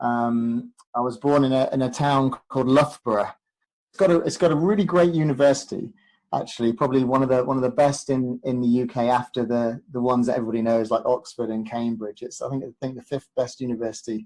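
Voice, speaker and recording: A man talks at a very fast pace with an English accent. His pitch is medium, with ordinary variation. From English Midlands, Leicestershire. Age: 40s. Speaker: proposal consultant, former athlete. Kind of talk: podcast interview. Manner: hesitant, many fillers and repeats.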